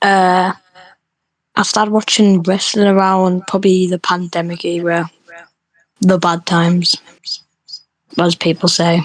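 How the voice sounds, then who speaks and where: In a British accent, the speech comes at a fairly slow pace with long, frequent pauses. The intonation is monotone and flat, and the loudness stays very even. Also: woman, medium pitch for a woman. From UK. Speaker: online roleplay wrestling referee. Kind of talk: casual podcast chat. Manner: hesitant, many fillers.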